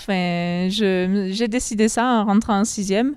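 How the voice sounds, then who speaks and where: A woman's medium-pitched voice, with fairly even intonation, comes across on a very clean recording with a silent background. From southwestern France, Lot (Bouriane). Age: 20s. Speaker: farm worker. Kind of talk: interview. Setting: on a farm, tobacco barn. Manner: hesitant, many fillers.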